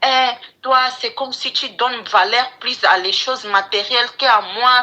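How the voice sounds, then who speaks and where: The speaker uses lively intonation at a fairly slow pace, with noticeable background noise. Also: woman. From English-speaking country. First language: English (speaking French). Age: 20s. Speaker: caller. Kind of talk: advice call-in, personal story. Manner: halting.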